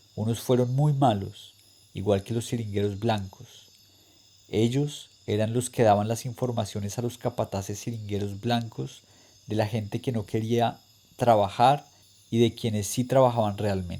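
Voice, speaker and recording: This man has a medium pitch and a dark, mellow tone. His intonation stays fairly even at a fairly slow pace. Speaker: reader. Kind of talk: literary reading aloud.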